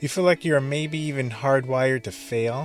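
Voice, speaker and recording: Music in the background under a man's moderately paced speech. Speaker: podcast host, filmmaker. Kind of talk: podcast monologue.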